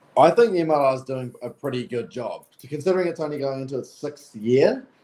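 Speaking at a moderate pace, a man talks in a medium pitch. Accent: New Zealand. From New Zealand. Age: 20s. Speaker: professional rugby player. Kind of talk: interview.

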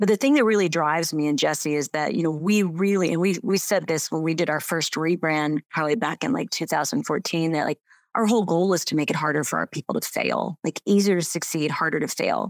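This woman has a plain, everyday voice, fairly low in pitch, with ordinary pitch variation and a fairly quick pace. The sound is dry and close with no echo, on a very clean recording with a silent background. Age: 50s. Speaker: business coach. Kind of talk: interview.

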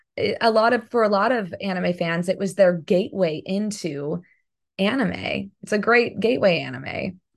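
Marked by vocal fry, a woman's voice moves at a moderate pace with ordinary pitch variation. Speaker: voice actress and singer. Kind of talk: casual interview.

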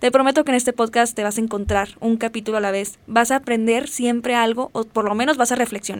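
Speaking at a very fast pace with hardly any pauses, a woman uses a fairly high pitch and fairly even intonation. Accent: Mexican. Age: 20s. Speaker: podcast host, psychology student. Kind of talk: casual monologue.

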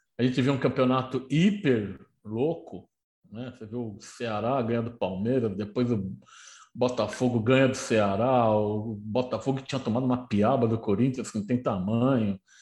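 This man's voice sits at medium pitch. It sounds somewhat breathy. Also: ordinary pitch variation, moderate pace. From Brazil, São Paulo city. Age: 60s. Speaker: football historian and author. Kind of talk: casual chat.

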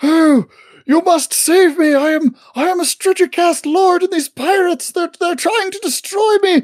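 Shouting, the speaker uses a put-on character voice at an extremely high pitch. The pace is fairly slow. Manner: yelling, pleading.

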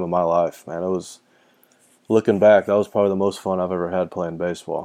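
Against a quiet background, a man with a fairly low pitch and a dark, mellow tone talks at a fairly quick pace in a flat monotone. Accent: Texan. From Texas. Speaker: former baseball player. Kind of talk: interview.

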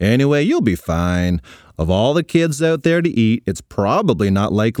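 Someone reads in an unforced voice.

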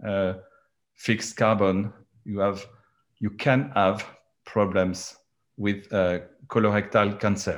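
Leaving long, frequent pauses, a man speaks very slowly at a fairly low pitch. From France. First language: French. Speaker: charcoal technology entrepreneur. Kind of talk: panel discussion. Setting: video call. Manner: halting.

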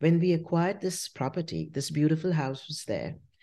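Against a quiet background, a woman speaks with a very deep, low pitch, a dark, mellow tone and vocal fry. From India, Shimla. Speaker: winery owner. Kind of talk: casual interview chat.

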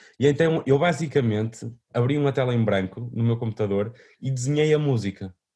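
A man's voice sits at a medium pitch. It is somewhat breathy, with a dark, mellow tone. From northern Portugal, Vila Nova de Famalicão. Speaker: musician. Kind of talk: interview. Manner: halting, many repetitions and fillers.

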